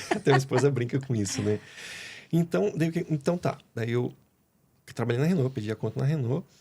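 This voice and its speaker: A man speaks at a medium pitch with a dark, mellow tone and a somewhat breathy quality. His intonation is lively, broken by long, frequent pauses. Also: fairly quick pace. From Brazil, Curitiba (Paraná). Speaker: pool worker interviewed on a podcast. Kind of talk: casual interview chat.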